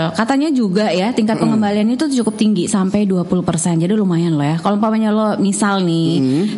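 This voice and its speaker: Amid noticeable background noise and audible room echo, a woman talks very fast at a medium pitch. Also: lively intonation, very even loudness. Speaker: radio host. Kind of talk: casual chat.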